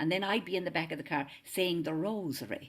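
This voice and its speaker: This woman has an Irish accent and a very deep, low pitch. She speaks at a very fast pace. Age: 70s. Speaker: singer and interfaith minister. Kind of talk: casual chat.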